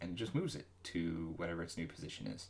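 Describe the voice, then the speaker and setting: The speaker mumbles at a moderate pace. The pitch shows ordinary variation. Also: man. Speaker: solo game developer streaming. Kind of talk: live coding stream commentary. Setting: livestream. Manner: mumbling; halting, many fillers.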